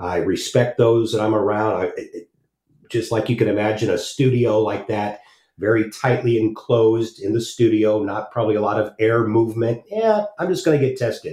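With a dark, mellow tone and a somewhat breathy quality, a man talks at a moderate pace in a medium pitch and fairly even intonation. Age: 50s. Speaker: radio host. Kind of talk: talk radio monologue. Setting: home studio.

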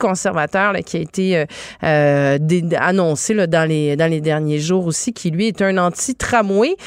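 At a fairly slow pace, an unremarkable speaking voice shows ordinary pitch variation. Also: woman. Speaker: radio host. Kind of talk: talk radio interview.

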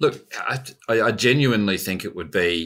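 A man talks in an Australian accent with a bright, sharp tone and ordinary pitch variation. The recording is very clean, with a silent background. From Australia, born in New Zealand. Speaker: investment executive. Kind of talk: interview.

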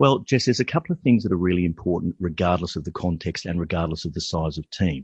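Very deep and low in pitch, a somewhat breathy man speaks at a very fast pace with ordinary pitch variation, in a dry, close recording with no echo and a quiet background. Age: 50s. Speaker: leadership mentor, former software developer. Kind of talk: casual interview.

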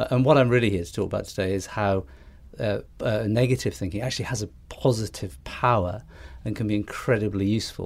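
A somewhat breathy voice with ordinary pitch variation speaks at a very fast pace in a very clean recording with a silent background. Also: man, fairly low pitch for a man. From northeast England. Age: 50s. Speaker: ad agency founder. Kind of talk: casual interview. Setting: studio. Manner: hesitant, repeats words.

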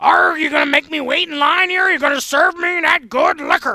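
The voice is a put-on character voice with a high pitch. It moves at a fairly quick pace. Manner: obnoxious, annoying.

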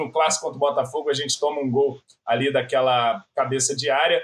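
An unremarkable speaking voice, moving at a fairly quick pace. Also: man. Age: 30s. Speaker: football fan commentator. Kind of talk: casual chat.

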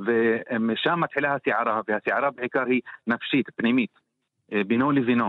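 At a fairly slow pace, a man with an Arabic accent speaks at medium pitch, with fairly even intonation and very even loudness. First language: Arabic (speaking Hebrew). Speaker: poet and translator. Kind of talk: radio interview.

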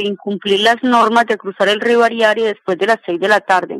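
With a plain, everyday voice, a woman talks at a fairly high pitch and moderate pace, her intonation fairly even, in a dry, close recording with no echo. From Colombia, Meta (Granada). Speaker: social activist. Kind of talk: interview testimony. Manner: formal.

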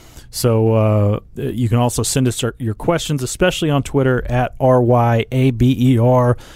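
Dark, mellow tone from a man at a moderate pace. His intonation stays fairly even. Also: medium pitch for a man. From Oklahoma City. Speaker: sports beat writer and podcast host. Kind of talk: casual sports discussion.

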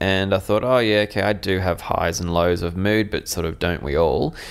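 Speaking with an Australian accent, this man has a very deep, low pitch. His intonation is fairly even. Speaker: mental health advocate. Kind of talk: interview.

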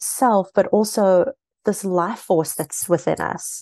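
A woman with a South African accent, medium pitch and a dark, mellow tone, at a very slow pace with ordinary pitch variation, in a dry, close sound with no echo over a quiet background. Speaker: author and spiritual mentor. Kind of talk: interview.

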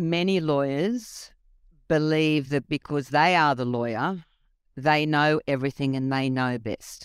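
A woman's very deep, low voice at a fairly slow pace, with ordinary pitch variation and a dry, close sound with no echo. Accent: Australian. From Australia (came from Egypt at seven). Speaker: judge. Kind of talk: interview.

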